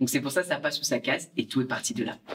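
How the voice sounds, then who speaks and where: At a fairly quick pace, a man with a Belgian accent talks with ordinary pitch variation. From Belgium. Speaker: social media creator. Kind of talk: casual interview. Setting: outdoor terrace.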